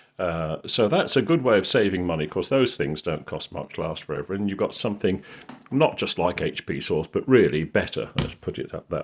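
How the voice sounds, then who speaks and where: With a Yorkshire accent, the speaker talks at a fairly quick pace with lively intonation and big swings in loudness. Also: man. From Yorkshire, northern England. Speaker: cooking video maker. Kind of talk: casual tutorial. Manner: casual, hesitant with fillers.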